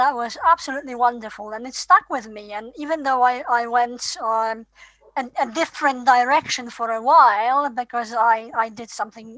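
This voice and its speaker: Against a quiet background, a woman speaks in a high, bright, sharp tone with fairly even intonation. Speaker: professor. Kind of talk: casual academic chat.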